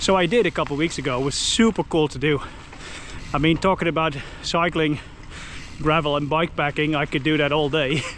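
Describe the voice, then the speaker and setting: Noticeable background noise sits behind a man with a Dutch accent and a fairly high pitch. He talks at a fairly quick pace with fairly even intonation and long, frequent pauses. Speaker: YouTuber, cyclist. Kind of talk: vlog narration while cycling. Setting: outdoors on a bike. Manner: casual, filler-heavy.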